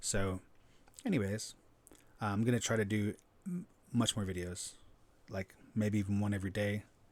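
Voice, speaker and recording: Fairly even intonation is broken up by long, frequent pauses. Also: man, fairly low pitch for a man. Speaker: life coach. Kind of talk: casual talk to camera. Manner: fast.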